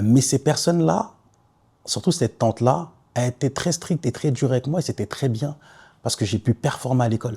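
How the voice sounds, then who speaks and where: In a very clean, dry, close recording with no echo and a silent background, a man with a medium-pitched, dark, mellow, somewhat breathy voice speaks with long, frequent pauses. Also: lively intonation, fairly quick pace. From Ivory Coast, then Paris suburbs (Saint-Denis, Nogent). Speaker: podcaster. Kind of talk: personal testimony podcast. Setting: self-filmed podcast. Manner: casual.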